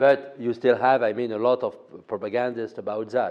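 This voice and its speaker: A man with a French accent speaks with fairly even intonation. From France. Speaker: political analyst. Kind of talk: interview. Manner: halting, many fillers.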